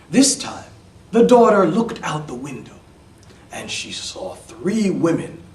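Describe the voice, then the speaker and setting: With an American accent and a high pitch, a man speaks at a very slow pace with very wide pitch swings amid noticeable background noise. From New York City. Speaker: EFL instructor. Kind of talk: read-aloud fairy tale for English learners. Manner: slow, simple.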